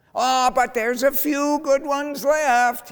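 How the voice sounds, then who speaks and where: At a fairly slow pace, a man does a put-on character voice pitched extremely high. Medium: read story.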